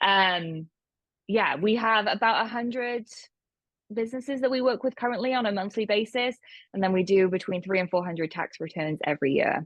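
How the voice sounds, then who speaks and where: Speaking with a British accent at a moderate pace, a woman uses a fairly high pitch and lively intonation, with long, frequent pauses. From United Kingdom. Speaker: accountant and bookkeeping business owner. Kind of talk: online course presentation, conversational.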